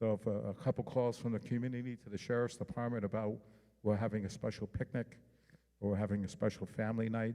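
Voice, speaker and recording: A man with a slight New York accent speaks at a very fast pace in a dark, mellow tone with monotone, flat intonation. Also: medium pitch for a man. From New York City, Manhattan. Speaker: homeland security outreach official. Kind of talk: public presentation.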